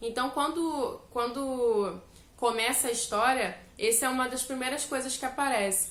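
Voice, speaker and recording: With audible room echo and noticeable background noise around her, a woman speaks at a moderate rate, her pitch varying in an ordinary way. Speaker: self-help youtuber. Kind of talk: book discussion monologue.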